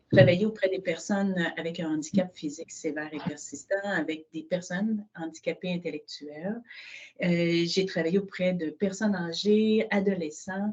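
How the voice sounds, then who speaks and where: A woman's plain, everyday voice at medium pitch, at a moderate pace. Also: fairly even intonation. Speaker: social housing director. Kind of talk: webinar presentation.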